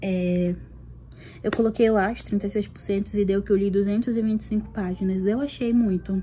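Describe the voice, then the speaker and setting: Monotone and flat in intonation, a woman speaks at medium pitch and a moderate pace. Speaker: book vlogger. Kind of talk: casual vlog.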